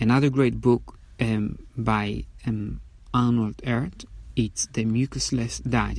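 Speaking at a fairly slow pace, a man has a non-native accent. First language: not English. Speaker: podcast host. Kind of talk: solo monologue. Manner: halting, many fillers.

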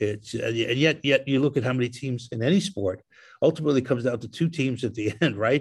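The man's voice is somewhat breathy, with ordinary pitch variation. The background is quiet. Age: 70s. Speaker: baseball analyst. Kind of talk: casual chat. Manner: halting.

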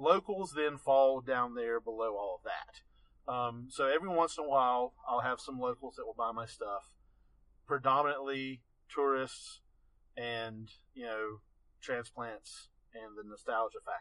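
Speaking at a fairly slow pace with long, frequent pauses, a man has a medium pitch and a bright, sharp tone. His pitch varies in an ordinary way while his loudness swings widely. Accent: Appalachian. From Western North Carolina. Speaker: landscape photographer. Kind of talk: interview.

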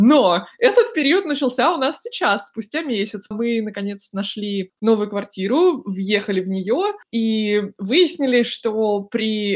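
A woman's plain, everyday voice, fairly high in pitch, with lively intonation. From Russia, Moscow. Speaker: podcast host. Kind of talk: casual chat.

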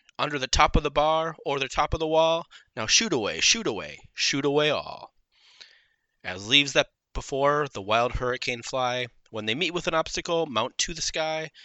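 Here a man talks at a moderate pace. He has an unremarkable speaking voice. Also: fairly high pitch for a man, ordinary pitch variation. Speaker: podcast host. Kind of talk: comic parody of a Christmas poem, read aloud in rhyming verse. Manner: sing-song, rhythmic, playfully theatrical delivery; casual, chatty, filler-heavy in the intro.

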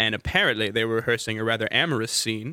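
A man speaks at a very fast pace with an American accent. His tone is animated. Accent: slight Southern US, mostly suppressed. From Valdosta, Georgia. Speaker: tour guide, radio show guest. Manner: animated, comedic storyteller.

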